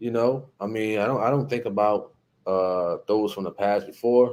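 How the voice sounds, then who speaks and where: With a New Jersey accent, a man uses a dark, mellow tone at a medium pitch, ordinary pitch variation and a moderate pace. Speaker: YouTube live-stream host. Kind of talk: casual live-stream chat reading comments. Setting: live stream. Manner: casual, filler-heavy.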